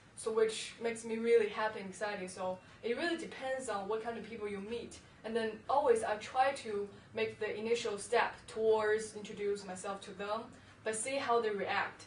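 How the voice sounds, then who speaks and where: There is noticeable background noise as a woman speaks in a Chinese accent. Her pitch is fairly high and her intonation fairly even. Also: moderate pace. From China. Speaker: university student. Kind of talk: interview answer.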